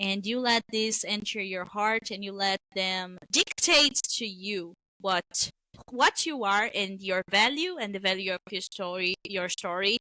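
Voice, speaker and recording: Recorded very cleanly with a silent background and a dry, close sound without echo, a woman with a Brazilian accent speaks at a medium pitch in a bright, sharp tone with ordinary pitch variation. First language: Portuguese. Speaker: webtoon creator. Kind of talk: interview. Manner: animated.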